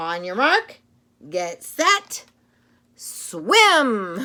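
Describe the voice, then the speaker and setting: This female-sounding voice is a put-on character voice at a high pitch. Its pitch swings very widely. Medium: read story. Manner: patient, instructive.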